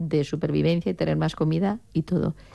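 A woman's dark, mellow tone with vocal fry

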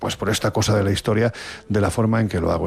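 A man talks at a fast pace in a fairly low pitch. His tone is slightly mellow, with vocal fry.

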